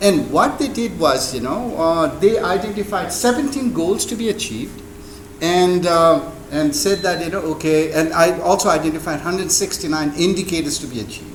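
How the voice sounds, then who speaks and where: A man speaks at a high pitch with lively intonation. Noticeable background noise sits behind him. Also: moderate pace. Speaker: invited speaker, hydrosystems engineer. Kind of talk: speech to an audience. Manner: halting, many fillers.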